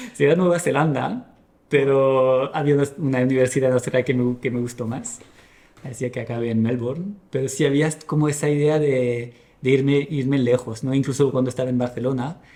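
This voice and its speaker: At a fairly quick pace, a man with a medium-pitched, dark, mellow voice keeps a fairly even intonation. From France. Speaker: podcast guest, product manager and musician. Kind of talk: casual interview chat. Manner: halting, many restarts.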